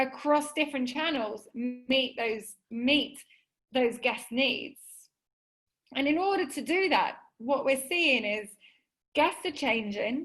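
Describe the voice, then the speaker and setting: A high-pitched woman's voice with an English accent, very slow in pace, ordinary in pitch variation, with long, frequent pauses. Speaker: webinar presenter, hotel software specialist. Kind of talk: webinar presentation. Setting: video call.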